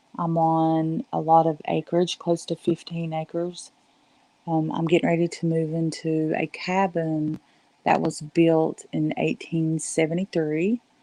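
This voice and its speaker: A woman with a Southern US accent speaks at a fairly slow pace, her dark, mellow tone held in a monotone, flat intonation. The sound is dry and close with no echo, over a quiet background. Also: fairly low pitch for a woman. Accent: very Southern. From US South, western North Carolina Appalachians. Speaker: live streamer. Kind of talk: casual chat. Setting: live stream at home. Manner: softer than usual.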